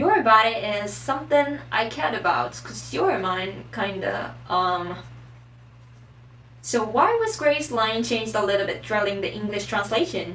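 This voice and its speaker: Noticeable background noise sits behind a woman speaking with a Japanese accent. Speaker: anime and manga explainer. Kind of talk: casual talk to camera. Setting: poor microphone.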